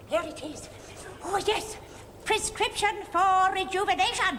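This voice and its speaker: A female-sounding put-on character voice at an extremely high pitch moves at a moderate pace over clear background noise. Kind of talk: comic overacting. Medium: stage play. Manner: cackling, bawdy.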